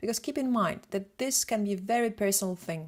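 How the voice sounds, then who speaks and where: In a Polish accent, a woman speaks at a medium pitch with ordinary pitch variation. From Poland. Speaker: photographer and retoucher. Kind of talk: lecture. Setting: live webinar. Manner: fast.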